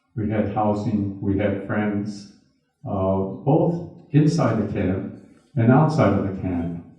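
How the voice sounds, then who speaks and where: A man's fairly low, somewhat breathy voice at a very slow pace, with audible room echo. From US Midwest, Milwaukee. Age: 80s+. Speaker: retired businessman and internment survivor speaker. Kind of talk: talk with audience Q&A. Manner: halting, with repeated words.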